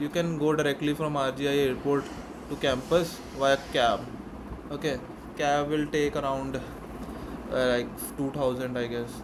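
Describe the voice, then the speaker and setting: Over noticeable background noise, a man with an Indian accent speaks at a fairly high pitch in a flat monotone, leaving long, frequent pauses. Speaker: student mentor, YouTuber. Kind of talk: tutorial. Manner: fast; casual.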